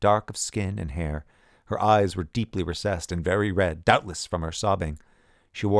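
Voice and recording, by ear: The voice reads aloud and sounds natural. Its pitch varies in an ordinary way.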